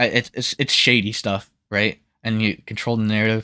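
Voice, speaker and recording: Recorded very cleanly against a silent background, with a dry, close sound and no echo, a man speaks at a moderate pace and medium pitch. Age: young. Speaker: political commentator. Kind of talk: casual political monologue. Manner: halting.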